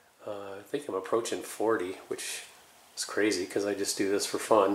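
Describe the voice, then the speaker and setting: This voice moves at a moderate pace with audible room echo around it. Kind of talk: casual vlog chat. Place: garage. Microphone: phone near.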